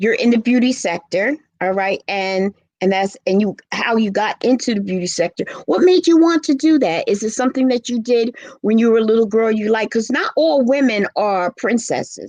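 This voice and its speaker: In a normal speaking voice, a woman with a fairly high pitch speaks at a moderate pace with lively intonation, the sound dry and close with no echo. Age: 60s. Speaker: talk show host. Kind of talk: interview.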